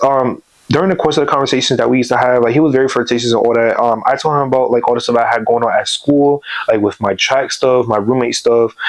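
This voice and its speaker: A man talks at a very fast pace with very even loudness. Noticeable background noise runs beneath him. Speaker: YouTuber telling personal stories. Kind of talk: storytime monologue. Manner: casual, many fillers and restarts.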